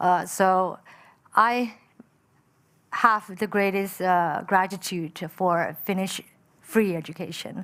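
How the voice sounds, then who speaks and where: In a Chinese accent, a woman speaks at a very slow pace and medium pitch with fairly even intonation and long, frequent pauses, recorded very cleanly over a silent background. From Malaysia. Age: 30s. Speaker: entrepreneur. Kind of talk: panel discussion. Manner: hesitant with many fillers.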